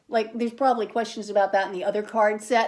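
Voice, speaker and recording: With an ordinary speaking voice, a woman speaks at a fairly high pitch and with fairly even intonation. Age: 60s. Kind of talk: casual chat.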